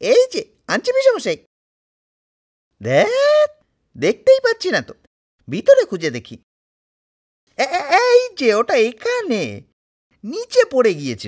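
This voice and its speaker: A man speaks in a put-on character voice pitched extremely high, keeping a moderate pace. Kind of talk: comic book voice-over with multiple character voices. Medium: dub.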